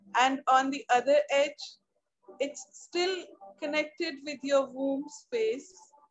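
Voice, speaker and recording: At a very slow pace, a woman speaks in a high pitch with ordinary pitch variation against a quiet background. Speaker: meditation guide. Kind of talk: guided meditation. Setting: video call. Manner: slow, calm, soothing. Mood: calm, soothing, smiling. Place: home room. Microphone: video call.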